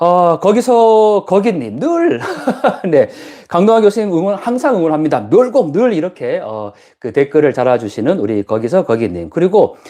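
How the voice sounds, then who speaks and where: A man's high voice with a dark, mellow tone, very wide pitch swings and a moderate pace. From Gyeongsang province, South Korea. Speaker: professor and YouTuber. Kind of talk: live stream chat. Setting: guesthouse room on an island. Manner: many fillers, conversational.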